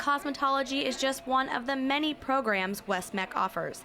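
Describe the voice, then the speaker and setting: With an American accent, a high-pitched woman projects a raised voice at a moderate pace, keeping her loudness very even and her pitch variation ordinary, over noticeable background noise. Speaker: television reporter and anchor. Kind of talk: broadcast news reporting.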